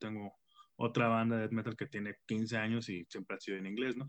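A man speaks at a fairly quick pace and a medium pitch with monotone, flat intonation. The sound is dry and close with no echo, over a quiet background. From Mexico, Tampico. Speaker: rock musician. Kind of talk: interview.

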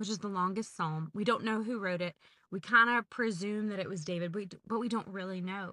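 In a Southern US accent, a woman of medium pitch talks at a fairly quick pace with fairly even intonation and a bright, sharp tone. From Georgia, US South. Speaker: podcast host and trip leader. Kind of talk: casual chat.

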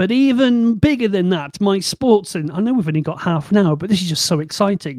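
A man speaks at a fairly quick pace in a Bristol accent, his pitch high. His tone is animated and his intonation lively. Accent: Bristol, West Country English. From Bristol, England. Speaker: podcast host. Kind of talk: casual chat. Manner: animated, joking.

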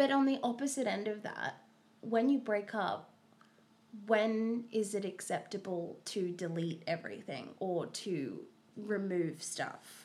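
A woman with an unremarkable speaking voice talks fairly slowly at a medium pitch. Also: lively intonation. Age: 20s. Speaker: podcast co-host. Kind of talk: casual chat.

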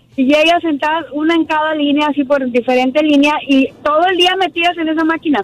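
A woman talks at a fairly quick pace and a high pitch, with ordinary pitch variation and hardly any pauses. Noticeable background noise runs behind her. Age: 30s. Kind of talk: casual phone-in chat. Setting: phone call.

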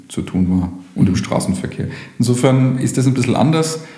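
A man with a fairly low pitch speaks at a moderate pace. Audible room echo and noticeable background noise fill the recording. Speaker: police station chief. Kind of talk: interview. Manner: formal.

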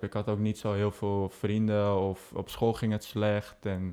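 A man's fairly low, dark, mellow voice at a moderate pace, monotone and flat in intonation, over a quiet background. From Netherlands, Amsterdam. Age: 20s. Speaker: aviation social media founder. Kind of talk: casual interview chat.

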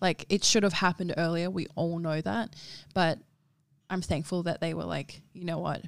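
Her voice is fairly low, with vocal fry and ordinary pitch variation. The woman speaks with an Australian accent. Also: moderate pace, very clean recording, silent background. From Darwin, Northern Territory, Australia. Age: 20s. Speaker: model and activist. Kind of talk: casual chat.

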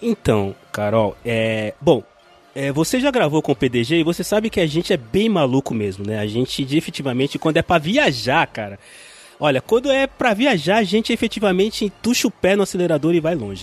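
Over noticeable background noise, a man speaks fairly quickly with very wide pitch swings, the sound dry and close with no echo. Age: 40s. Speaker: podcaster. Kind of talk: casual chat.

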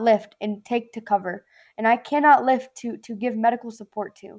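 In a Southern US accent, a woman with a high pitch and a dark, mellow tone speaks at a moderate pace. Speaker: former Marine. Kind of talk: casual chat. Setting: video call.

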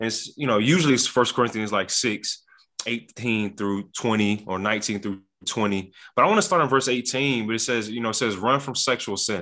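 Against a quiet background, a man's bright, sharp tone comes at medium pitch and a moderate pace with ordinary pitch variation. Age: 20s. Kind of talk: faith discussion podcast.

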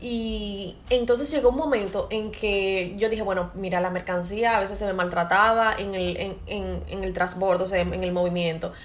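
Speaking at medium pitch and a moderate pace with hardly any pauses, a woman shows ordinary pitch variation amid audible room echo and noticeable background noise. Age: 30s. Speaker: podcast host and entrepreneur. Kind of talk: casual chat.

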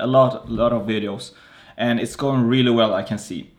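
In a normal speaking voice, a man talks at a moderate pace with medium pitch and ordinary pitch variation. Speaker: podcast host. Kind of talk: interview. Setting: video call.

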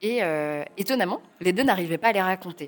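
Music plays behind the speech. A woman talks at a fairly low pitch. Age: 30s. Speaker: novelist. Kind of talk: interview. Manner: halting.

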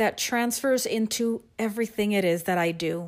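A woman with an American accent, an ordinary speaking voice, fairly high pitch and moderate pace, on a very clean recording with a silent background. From Texas, San Antonio. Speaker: education specialist. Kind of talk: prepared monologue.

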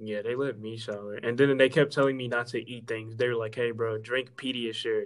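Fairly quick speech from a man at medium pitch. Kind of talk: casual chat.

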